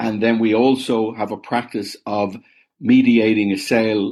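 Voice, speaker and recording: Against a quiet background, a man with an Irish accent speaks at medium pitch with fairly even intonation. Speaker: business founder. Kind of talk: interview.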